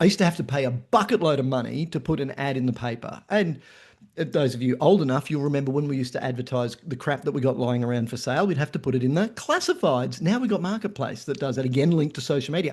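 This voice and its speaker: Over a quiet background, a man with an Australian accent talks at a very fast pace in a fairly high pitch, sounding somewhat breathy, with ordinary pitch variation. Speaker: marketing presenter. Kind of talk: webinar presentation. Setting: online webinar.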